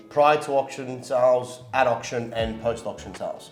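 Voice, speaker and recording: With music playing in the background, a man speaks at medium pitch with ordinary pitch variation. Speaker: real estate agent. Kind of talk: interview host questions.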